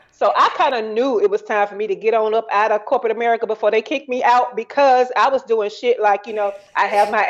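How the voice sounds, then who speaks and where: A woman speaks with a Southern US accent at a fairly high pitch. Her tone is animated. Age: 40s. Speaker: entrepreneur. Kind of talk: casual chat.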